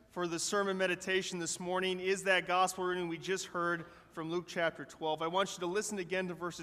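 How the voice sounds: The voice reads naturally. Each word comes out in an easy, unaffected way.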